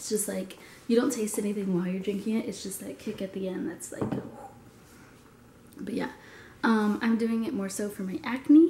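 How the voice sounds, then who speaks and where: Noticeable noise sits in the background. Through it, a woman can be heard talking. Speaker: fitness vlogger. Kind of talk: casual vlog talk. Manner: casual, filler-heavy.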